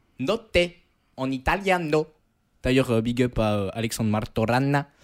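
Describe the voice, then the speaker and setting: This man talks with lively intonation. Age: 20s. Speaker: student radio co-host, sports columnist. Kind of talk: scripted narration; casual chat.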